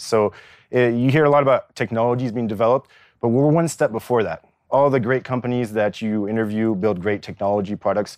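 Against a quiet background, a man with an American accent and medium pitch talks at a very fast pace. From California, US. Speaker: coding academy dean and co-founder. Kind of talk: interview. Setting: on location at a technology park.

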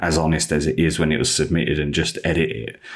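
In a London accent, a man with a very deep, low pitch and vocal fry speaks at a fairly quick pace. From East London, England. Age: 30s. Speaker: magazine editor and football coach. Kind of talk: casual interview chat.

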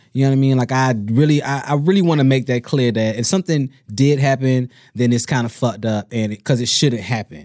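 A man speaks in a plain, everyday voice at a medium pitch, with ordinary pitch variation and a fairly quick pace. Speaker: podcast host. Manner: sarcastic.

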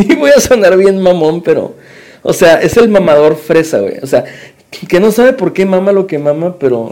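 His intonation is lively and his pitch high. The man keeps a moderate pace. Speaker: podcast host. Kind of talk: casual chat. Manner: animated.

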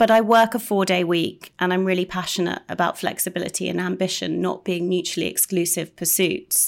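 A woman with vocal fry and a medium pitch speaks at a fairly quick pace in a monotone, flat intonation, with hardly any pauses, in a very clean recording with a silent background. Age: 40s. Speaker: managing editor. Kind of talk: casual chat.

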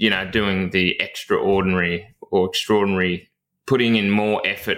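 In a rural Australian accent, a man speaks at a moderate pace with a bright, sharp tone on a very clean recording with a silent background. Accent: broad rural Australian. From rural Victoria, Australia. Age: 30s. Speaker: firefighter recruitment coach and podcast host. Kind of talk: interview, casual chat.

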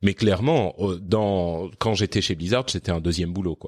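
A man's very deep, low voice at a moderate pace with ordinary pitch variation, on a very clean recording with a silent background and a dry, close sound with no echo. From Lebanon and France (moved around). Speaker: podcaster. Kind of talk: interview conversation. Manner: hesitant with fillers.

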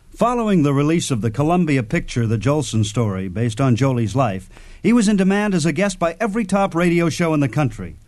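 With an American accent, a man talks at a fairly quick pace. His voice sits fairly high and moves in very wide pitch swings. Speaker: radio host. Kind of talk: scripted narration. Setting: studio. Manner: formal.

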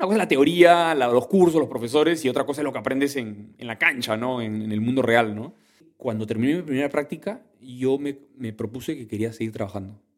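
Medium pitch from a man, fairly quick pace, lively intonation and big swings in loudness. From Peru, Callao. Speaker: entrepreneur. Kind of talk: interview. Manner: halting.

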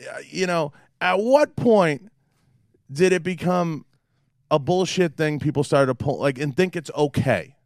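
A man with an American accent talks at a fairly slow pace and a high pitch, with ordinary pitch variation. Long, frequent pauses break up his speech in a very clean recording with a silent background. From Boston. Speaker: podcast host. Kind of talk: casual interview chat. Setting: studio.

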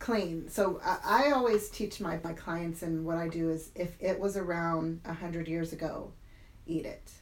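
A woman's fairly low voice at a fairly slow pace, with ordinary pitch variation and audible room echo. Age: 40s. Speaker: stroke survivor and fitness coach. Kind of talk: interview storytelling. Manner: animated.

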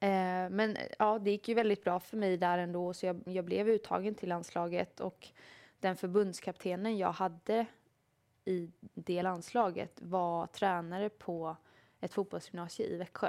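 A woman's medium-pitched voice, monotone and flat, at a fairly slow pace on a very clean recording with a silent background. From Sweden, Småland. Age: 30s. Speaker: professional footballer. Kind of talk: interview. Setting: studio.

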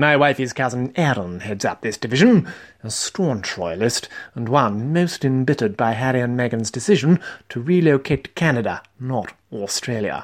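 In a British accent, a man uses a pompous, theatrical tone at medium pitch, his intonation lively and his pace moderate, on a very clean recording with a silent background. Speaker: comedian. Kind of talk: dramatic narration. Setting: solo recording, diary-style monologue. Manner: pompous, mock-formal, theatrical.

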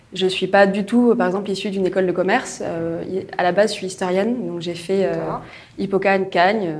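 Audible room echo surrounds a woman's voice. She moves at a fairly quick pace with fairly even intonation. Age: 20s. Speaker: corporate innovation manager. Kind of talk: interview.

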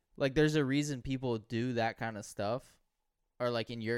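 An American-accented man with a plain, everyday voice, medium pitch and ordinary pitch variation, in a very clean recording with a silent background. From US South. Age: 20s. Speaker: podcast co-host. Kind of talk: casual chat.

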